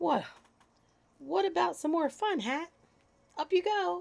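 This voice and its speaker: A woman uses a put-on character voice that is breathy and high in pitch. She speaks at a fairly slow pace with very wide pitch swings. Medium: read story. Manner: playful, boisterous.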